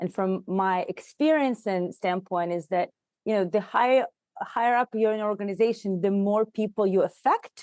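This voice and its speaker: A woman with a Russian accent talks at a moderate pace and medium pitch, with ordinary pitch variation and a dry, close sound with no echo. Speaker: HR consultant and leadership coach. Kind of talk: podcast interview.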